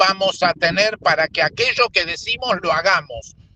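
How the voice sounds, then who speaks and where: A man with a high pitch uses a raised, projected voice at a fairly slow pace, in a dry, close sound with no echo. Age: 70s. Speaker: agricultural project coordinator. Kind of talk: meeting discussion.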